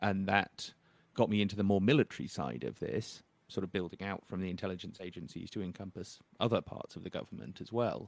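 A man speaks very fast in a very deep, low voice with vocal fry and ordinary pitch variation. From northern England. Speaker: journalist and author. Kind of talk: interview.

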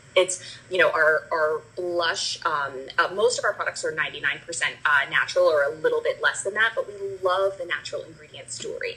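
A woman with an American accent at a moderate pace, with big swings in loudness and noticeable background noise. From New Jersey. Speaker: cosmetics brand founder. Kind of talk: interview, personal story.

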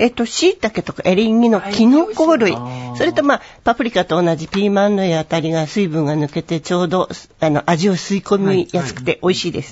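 A woman talks fairly quickly, her pitch swinging across a very wide range. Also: medium pitch for a woman. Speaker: cookbook author. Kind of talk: casual chat.

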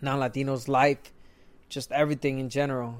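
Monotone, flat intonation from a man, on a very clean recording with a silent background. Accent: Spanish. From Mexico. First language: Spanish. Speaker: retired boxer and boxing commentator. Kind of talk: casual podcast monologue.

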